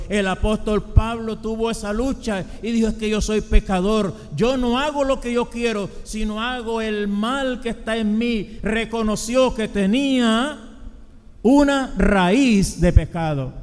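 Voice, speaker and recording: Very slowly and at a high pitch, a man speaks with ordinary pitch variation. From Colombia. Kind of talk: sermon.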